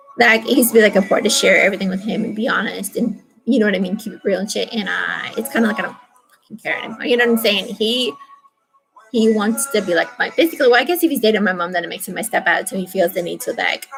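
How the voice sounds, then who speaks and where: With music in the background, a woman talks at a very fast pace and fairly high pitch, showing ordinary pitch variation and big swings in loudness. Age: 30s. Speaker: video diarist. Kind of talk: personal vlog monologue. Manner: halting.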